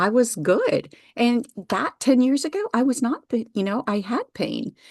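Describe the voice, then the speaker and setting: A woman speaks at a fairly slow pace in a high voice, her tone animated and her intonation lively. The sound is dry and close with no echo, and the background is quiet. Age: 60s. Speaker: wellness practitioner and founder. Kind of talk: interview.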